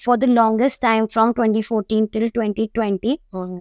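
A woman speaks with fairly even intonation. The background is quiet and the sound is dry, with no echo. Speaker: guest. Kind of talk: interview answer. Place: studio.

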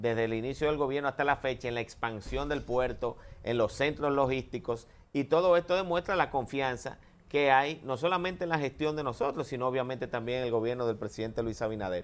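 The pace is fairly quick, with ordinary pitch variation. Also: man. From Dominican Republic. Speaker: government agency director; guest. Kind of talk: TV interview. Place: studio. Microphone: lapel.

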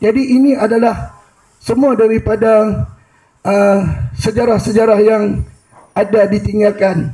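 Man with a high pitch, fairly even intonation and very even loudness, at a fairly slow pace with long, frequent pauses, against a quiet background. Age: 50s. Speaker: audience member, history enthusiast; audience member. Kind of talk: audience comment. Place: hall. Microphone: handheld.

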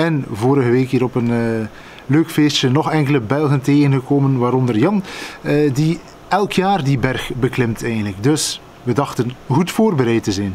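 Light background noise accompanies a man speaking at a moderate pace with ordinary pitch variation. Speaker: vlogger. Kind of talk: casual vlog storytelling. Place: garden. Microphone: phone near.

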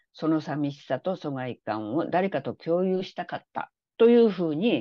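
Speech moves fairly slowly. Its pitch rises and falls very widely. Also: woman. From Japan. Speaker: literary translator. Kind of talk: interview.

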